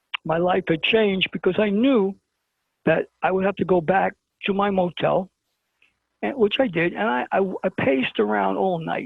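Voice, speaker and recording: Lively intonation runs through this speech in a New York accent. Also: man. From Brooklyn, New York. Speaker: interview guest. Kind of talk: storytelling in an interview.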